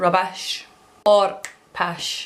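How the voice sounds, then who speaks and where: A woman with a Scottish accent speaks over noticeable background noise. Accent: Scottish (Alloa). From Alloa, Scotland. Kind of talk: casual talk to camera.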